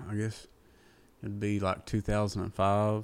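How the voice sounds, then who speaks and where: With an Appalachian accent, a man talks in a fairly low voice with a dark, mellow tone. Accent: Appalachian Kentucky. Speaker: country singer. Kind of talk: casual chat. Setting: apartment.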